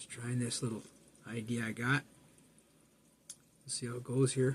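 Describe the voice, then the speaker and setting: A man talks at a medium pitch and a moderate pace, his intonation monotone and flat. His voice is somewhat breathy, with big swings in loudness. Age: 60s. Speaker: spiritual video blogger. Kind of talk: casual monologue. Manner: plain-spoken; halting.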